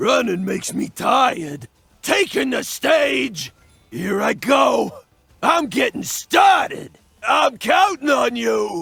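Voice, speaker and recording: Someone shouts in a put-on character voice, raspy and gravelly. The pace is very slow. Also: man. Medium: voice reel.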